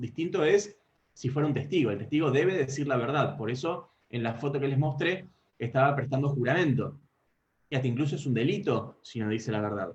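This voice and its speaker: In a Rioplatense accent, the somewhat breathy voice moves at a fairly quick pace. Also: man. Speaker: law lecturer. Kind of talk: lecture. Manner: fast.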